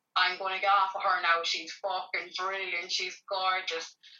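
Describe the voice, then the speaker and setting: With an Irish accent, a woman speaks in a monotone, flat intonation. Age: 40s. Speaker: community organiser. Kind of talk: interview. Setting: at home.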